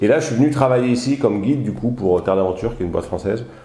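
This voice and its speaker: A man's dark, mellow, somewhat breathy voice at a very fast pace with lively intonation. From southern France, Alpes-de-Haute-Provence. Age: 40s. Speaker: hotel owner and trekking guide. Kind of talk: casual interview. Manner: hesitant, many fillers.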